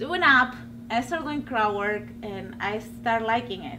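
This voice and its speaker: Over noticeable background noise, a woman with a strong Peruvian accent speaks at a fairly quick pace. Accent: heavy Peruvian Spanish accent in English. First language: Spanish. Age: 30s. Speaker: stand-up comedian. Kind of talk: casual interview. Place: studio.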